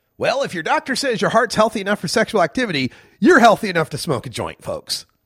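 On a very clean recording with a silent background, a man talks at a fairly quick pace. His pitch swings very widely, with vocal fry. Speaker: radio host. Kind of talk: live talk radio show.

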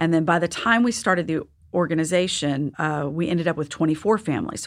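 With an American accent, a woman with an unremarkable speaking voice talks at a fairly quick pace and fairly low pitch on a very clean recording with a silent background. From Texas. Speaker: patient advocacy founder and mother. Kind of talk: interview.

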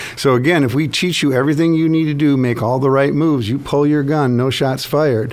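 A fairly high male voice, fairly quick with hardly any pauses, very even in loudness and fairly even in intonation, against noticeable background noise. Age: 60s. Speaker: firearms training instructor. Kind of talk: radio interview. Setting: studio.

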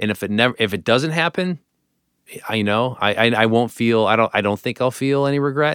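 A man has a plain, everyday voice at a medium pitch, heard in a dry, close sound with no echo on a very clean recording with a silent background. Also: ordinary pitch variation, fairly quick pace. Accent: American. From Parma, Ohio (Cleveland area). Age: 40s. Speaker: restaurant founder and chef. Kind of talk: interview. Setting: studio.

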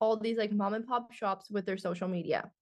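Her pace is very fast. A woman with a Canadian accent speaks with a fairly high pitch and ordinary pitch variation. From Ontario, Canada. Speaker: business and money coach. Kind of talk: casual interview chat.

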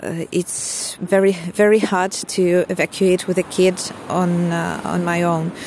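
A woman with a Ukrainian accent, monotone, flat intonation and noticeable background noise. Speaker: refugee mother. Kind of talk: personal testimony. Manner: hesitant, many fillers.

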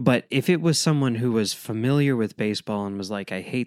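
A man's plain, everyday voice in an American accent, medium in pitch with ordinary pitch variation at a moderate pace, a dry, close sound with no echo on a very clean recording with a silent background. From Chicago, US Midwest. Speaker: podcast co-host. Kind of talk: casual chat.

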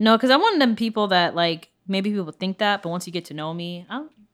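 With an American accent, a woman talks at a moderate pace in a medium pitch. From United States. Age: 20s. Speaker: podcast co-host. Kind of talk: casual chat.

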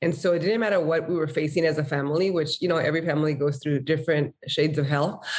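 Very deep and low in pitch, a woman speaks with fairly even intonation, very even loudness and hardly any pauses. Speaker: nonprofit co-founder. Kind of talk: interview.

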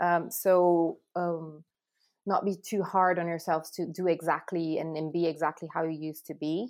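A woman with a Portuguese accent speaks in a fairly low, monotone, flat voice. The recording is very clean, with a silent background. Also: moderate pace. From Brazil. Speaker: relationship therapist. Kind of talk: casual interview. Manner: halting, many repetitions and fillers.

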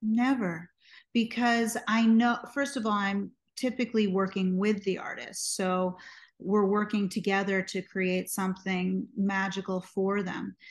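A woman with an American accent has a plain, everyday voice at a medium pitch. Her intonation is fairly even, her pace fairly slow, and the background quiet. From US, New York City. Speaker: singer, songwriter and music producer. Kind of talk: interview conversation.

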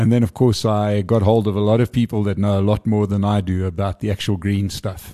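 A man speaks in a fairly low, dark, mellow voice with flat, monotone intonation. The sound is dry and close with no echo, over a quiet background. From South Africa. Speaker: event organiser. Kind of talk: casual interview.

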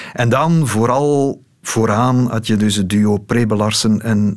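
Amid noticeable background noise, a man speaks at a fairly low pitch with ordinary pitch variation. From Belgium, Lokeren (East Flanders). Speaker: political journalist. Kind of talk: casual interview. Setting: radio studio.

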